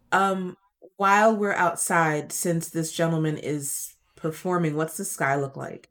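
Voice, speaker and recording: A woman with an unremarkable speaking voice talks in a fairly low pitch with fairly even intonation. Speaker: role-play player. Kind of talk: tabletop role-play session.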